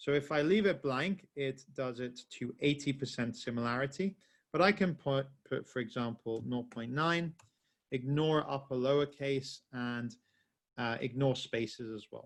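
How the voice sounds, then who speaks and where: A man at a fairly slow pace, with ordinary pitch variation and a quiet background. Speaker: software trainer. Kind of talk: webinar tutorial. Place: home room.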